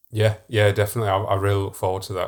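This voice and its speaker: A man speaks in a fairly low pitch with monotone, flat intonation and a somewhat breathy quality, on a very clean recording with a silent background. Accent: Yorkshire. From Yorkshire, northern England. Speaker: podcast co-host, professional artist. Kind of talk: casual chat.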